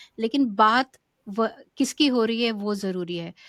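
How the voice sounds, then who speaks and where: A woman's fairly high-pitched voice, dry and close with no echo, in a very clean recording with a silent background. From India. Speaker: podcast co-host. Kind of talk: interview introduction. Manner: halting, many fillers.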